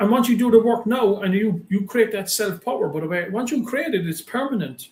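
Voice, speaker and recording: A man speaks with an Irish accent. His pitch is high, with ordinary pitch variation. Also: fairly quick pace. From Ireland. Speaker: business coach and motivational speaker. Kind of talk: interview. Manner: animated.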